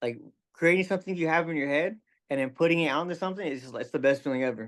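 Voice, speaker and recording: A man mumbles at a very fast pace in a fairly high voice against a quiet background. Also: ordinary pitch variation. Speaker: rapper. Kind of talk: casual interview chat. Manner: mumbling; careful enunciation.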